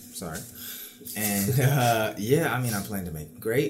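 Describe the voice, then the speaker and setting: A man with an American accent talks at medium pitch and a fairly quick pace, using lively intonation. The recording has audible room echo and noticeable background noise. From New York City, Queens. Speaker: university student and dancer. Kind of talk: casual chat.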